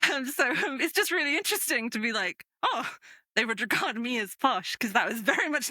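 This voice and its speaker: A woman speaks in a northern English accent at a high pitch and a fairly quick pace, with very wide pitch swings. The sound is dry and close, with no echo. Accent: mild northern English. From northern England. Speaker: podcast game master. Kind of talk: casual interview chat.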